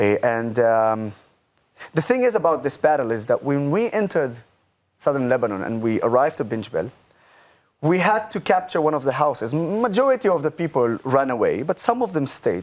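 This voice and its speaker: A man with an Arabic accent talks at a fairly high pitch and a fairly quick pace, with very wide pitch swings. The recording is very clean, with a silent background. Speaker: political advocate, army veteran. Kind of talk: talk show interview.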